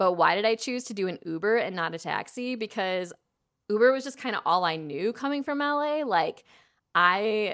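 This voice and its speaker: In a very clean recording with a silent background, a woman with an American accent speaks at a fairly high pitch with very wide pitch swings. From Chicago suburbs. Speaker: podcast host, amateur dancer. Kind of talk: casual solo storytelling. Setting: at home, house sitting. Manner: casual, lots of filler words.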